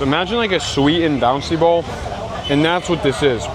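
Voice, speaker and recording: A man talks with an American accent. Crowd noise fills the background. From Texas. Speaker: travel vlogger. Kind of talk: travel vlog narration. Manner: casual, conversational.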